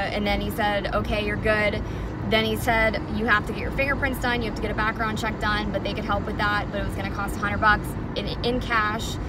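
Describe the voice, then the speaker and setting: Over loud background noise, a woman speaks at a fairly quick pace in a dry sound with no echo. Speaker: club dancer reviewing a workplace. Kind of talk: casual vlog chat. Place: car. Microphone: phone near.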